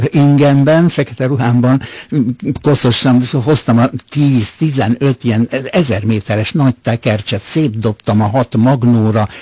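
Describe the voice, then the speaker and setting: A man speaks at a medium pitch and a fairly slow pace, with ordinary pitch variation and very even loudness. His tone is dark, mellow and somewhat breathy, with a dry, close sound and no echo. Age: 80s+. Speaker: retired radio music editor. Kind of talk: radio interview. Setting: radio studio. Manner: halting, with fillers.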